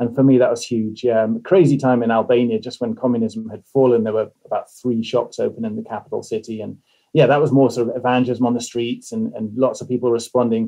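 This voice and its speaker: A man with an English accent talks at a very fast pace with hardly any pauses. His intonation is monotone and flat. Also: medium pitch for a man. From England, moved around (army family). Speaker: missionary and podcast host. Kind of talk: interview guest, personal testimony.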